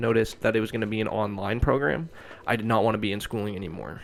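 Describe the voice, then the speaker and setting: Speaking at a very fast pace, this man has a medium pitch and vocal fry. His intonation stays fairly even. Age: 20s. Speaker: filmmaker and video editor. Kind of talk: casual monologue podcast. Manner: halting, many fillers.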